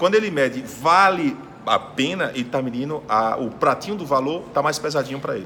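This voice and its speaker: A man with a fairly high pitch speaks in an animated tone with ordinary pitch variation over noticeable background noise. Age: 40s. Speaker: sales speaker and podcast host. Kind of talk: interview.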